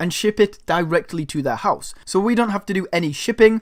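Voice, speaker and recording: A man talks at a moderate pace in a high voice. His tone is animated, with lively intonation. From northern England. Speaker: online money-making youtuber. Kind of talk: tutorial.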